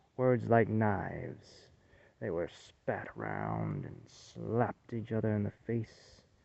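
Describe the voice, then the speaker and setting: Using a put-on character voice, a man drawls at a fairly slow pace in a fairly low pitch. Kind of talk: folksy spoken horror tale. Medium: read story. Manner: homespun, halting, drawling.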